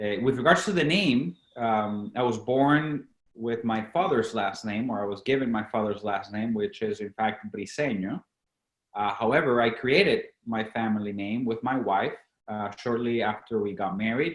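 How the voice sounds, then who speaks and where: Speaking with a Latin American accent, a man keeps a medium pitch, ordinary pitch variation and a moderate pace. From Venezuela. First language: Spanish. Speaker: company founder and CEO. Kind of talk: podcast interview.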